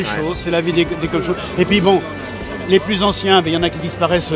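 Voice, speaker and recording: Clear music plays behind speech delivered at a fairly quick pace, and the sound is dry with no echo. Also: man. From Vendée, western France. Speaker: rural comedian. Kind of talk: interview answer. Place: hall. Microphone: handheld.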